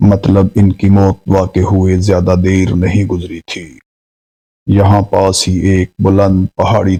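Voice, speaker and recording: A man speaks in a fairly low voice with a dark, mellow tone. His intonation stays monotone and flat. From Pakistan. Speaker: voice-over artist. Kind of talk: horror story narration.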